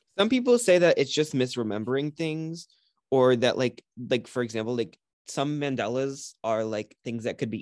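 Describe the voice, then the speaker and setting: Against a quiet background, a man with a slight Puerto Rican accent speaks fairly quickly in an animated, passionate tone with ordinary pitch variation. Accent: slight Puerto Rican Spanish tinge. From Puerto Rico. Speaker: podcast host. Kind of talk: casual conversational podcast chat.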